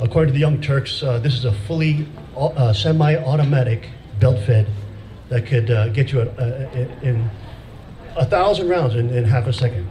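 Light background noise runs under a man's voice. He speaks at a moderate pace with ordinary pitch variation. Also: medium pitch for a man. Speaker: pastor. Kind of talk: sermon-style rally speech; sermon-like rally speech. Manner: formal. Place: stage. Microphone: podium.

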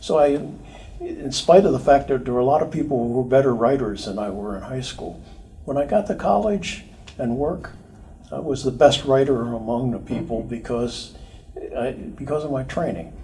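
A man with an American accent speaks at a moderate pace in a dark, mellow tone. Vocal fry comes through, and his pitch variation is ordinary. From US, Philadelphia area. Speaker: retired electronics engineer; interviewee. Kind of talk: oral history interview. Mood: relaxed, reminiscing, smiling.

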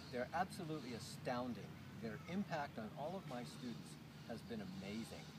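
A man keeps a moderate speed while loud noise surrounds him. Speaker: fitness instructor. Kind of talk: tutorial. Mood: enthusiastic, promotional. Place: open country.

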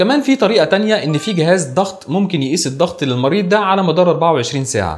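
Faint music plays in the background as a man with a high pitch talks at a fairly quick pace with hardly any pauses. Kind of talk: lecture. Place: studio. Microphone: lapel.

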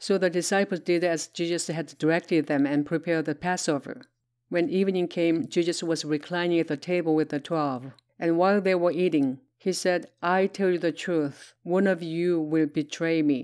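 A woman at a moderate pace, her pitch fairly low, her loudness very even and her intonation fairly even. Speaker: Bible reader; Bible narrator. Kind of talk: reading aloud. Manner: plain, non-dramatized reading.

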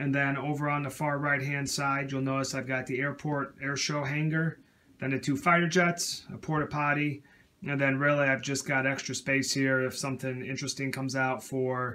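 A man speaks at a moderate pace in a monotone with flat intonation. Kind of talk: casual show-and-tell narration. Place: home room. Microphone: phone near.

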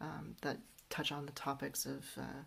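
Here a woman speaks with a Canadian accent at a fairly slow pace. Her pitch is very deep and low, and her tone is relaxed. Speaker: book reviewer. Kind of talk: book review talk to camera. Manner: relaxed, hesitant with fillers.

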